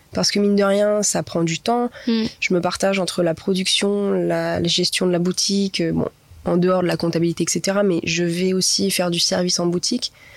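Keeping a monotone, flat intonation and very even loudness, a woman speaks at a moderate pace and medium pitch. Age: 20s. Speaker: pastry shop owner. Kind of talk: interview. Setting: cinema room.

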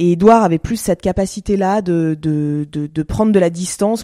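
Recorded very cleanly with a silent background, a woman speaks at medium pitch with a dark, mellow tone and fairly even intonation. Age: 30s. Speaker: fashion entrepreneur. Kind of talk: interview conversation. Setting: at home.

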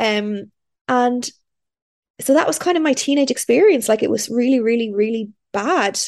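A woman's high-pitched voice at a moderate pace, in a Dublin accent, with long, frequent pauses. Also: ordinary pitch variation. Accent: Irish (Dublin). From Ireland, Dublin. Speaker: podcast host. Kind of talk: casual chat. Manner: animated.

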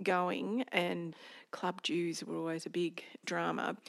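Here is a woman with an Australian accent. The sound is dry and close, with no echo. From rural Victoria, Australia. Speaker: company director. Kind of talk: interview.

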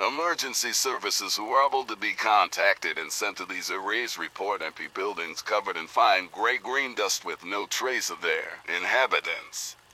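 A man speaks at a moderate pace with hardly any pauses. Noticeable background noise sits behind him. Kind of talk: formal emergency newsreading. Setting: in-fiction emergency broadcast. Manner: formal, grave, measured.

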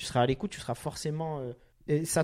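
On a very clean recording with a silent background, a man with a dark, mellow tone speaks at a very fast pace. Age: 30s. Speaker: podcast host. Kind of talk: casual chat. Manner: animated.

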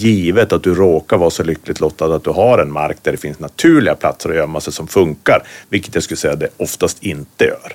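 Talking at a fairly quick pace with hardly any pauses, a man speaks with a northern Swedish accent. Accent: northern Swedish, noticeable. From Västerbotten, northern Sweden. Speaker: hunter and hunting writer. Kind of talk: casual interview.

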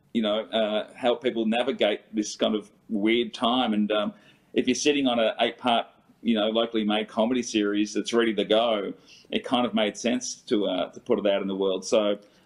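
This man talks at a moderate pace and a medium pitch. His intonation is monotone and flat. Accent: Australian. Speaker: comedian. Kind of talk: interview. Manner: halting.

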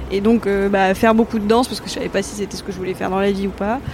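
Speaking at a very fast pace, a woman with a fairly high pitch is heard against noticeable background noise. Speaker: intern and magazine writer, guest. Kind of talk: casual chat. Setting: live Twitch stream.

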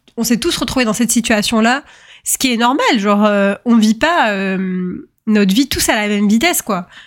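Ordinary pitch variation from a woman with a fairly high-pitched voice. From French suburbs (banlieue). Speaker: podcast host. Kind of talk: casual monologue. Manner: hesitant, many fillers.

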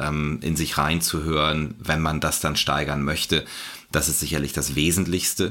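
At a moderate pace, a man speaks with a very deep, low pitch and a bright, sharp tone. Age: 40s. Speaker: sports physician. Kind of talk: casual chat. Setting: remote call.

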